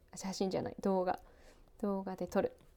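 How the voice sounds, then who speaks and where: A woman's dark, mellow voice at a medium pitch. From Japan, outside Hokkaido. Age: 30s. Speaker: radio and TV announcer. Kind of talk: casual solo talk while cooking. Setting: at home.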